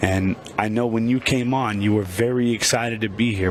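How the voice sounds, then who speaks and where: A man with a medium pitch talks at a moderate pace, his intonation fairly even, while noticeable background noise runs underneath. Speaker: pool commentator. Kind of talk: live commentary. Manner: higher pitch when passionate.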